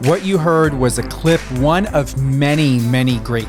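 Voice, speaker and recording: A man's voice moves along at a moderate pace while music plays behind it. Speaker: radio host. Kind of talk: radio interview hosting.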